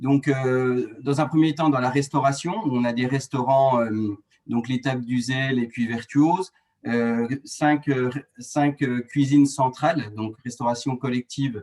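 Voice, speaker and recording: Speaking very slowly, this man keeps a medium pitch and a fairly even intonation. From France, rural Doubs (Franche-Comté). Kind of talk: webinar presentation. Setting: online webinar. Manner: hesitant, many fillers and restarts.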